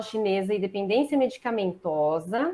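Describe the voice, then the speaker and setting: With lively intonation and a fairly high pitch, a woman speaks at a moderate pace in a plain, everyday voice. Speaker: acupuncturist and pharmacist. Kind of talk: online lecture.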